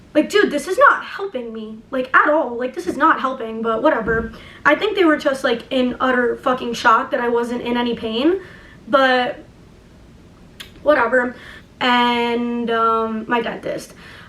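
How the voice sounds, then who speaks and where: Amid noticeable background noise, a woman talks at a fairly slow pace in a high pitch with ordinary pitch variation. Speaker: youtuber. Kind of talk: casual chat.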